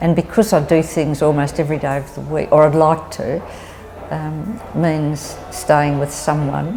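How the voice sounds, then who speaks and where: A woman with an Australian accent, very deep and low in pitch, with fairly even intonation over noticeable background noise. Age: 70s. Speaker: older woman facing housing insecurity. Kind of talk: personal testimony.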